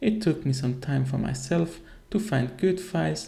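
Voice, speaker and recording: In a room with audible echo, a man speaks with a non-native accent. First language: not English. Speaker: video game content creator. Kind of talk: tutorial.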